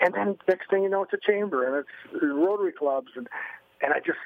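A man's very fast speech, dry and close with no echo, over noticeable background noise. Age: 50s. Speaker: business author and speaker. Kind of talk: interview.

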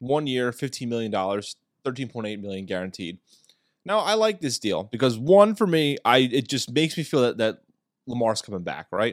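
This man speaks at a fairly quick pace with lively intonation and a medium pitch, in an unremarkable speaking voice. The recording is very clean, with a silent background. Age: 20s. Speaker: sports podcast host. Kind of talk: casual solo podcast talk.

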